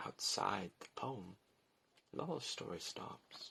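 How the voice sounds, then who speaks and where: A man's bright, sharp-toned voice with vocal fry. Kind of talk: poetry reading.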